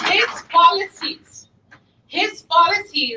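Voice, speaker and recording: At a very slow pace, a woman uses a raised, projected voice with a bright, sharp tone. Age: 60s. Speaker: volunteer organizer. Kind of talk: speech to a meeting. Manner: animated.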